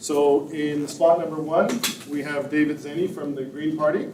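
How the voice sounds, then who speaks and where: At a fairly slow pace, a man with a Canadian accent speaks in a fairly high voice, with audible room echo. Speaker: debate moderator. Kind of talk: public meeting moderation. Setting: community hall with audience, live stream.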